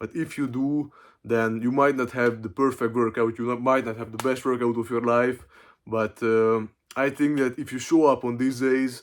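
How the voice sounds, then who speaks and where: A man's monotone, flat delivery in a very clean recording with a silent background. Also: medium pitch for a man, moderate pace. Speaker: fitness vlogger. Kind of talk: casual vlog monologue. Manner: hesitant, filler-heavy.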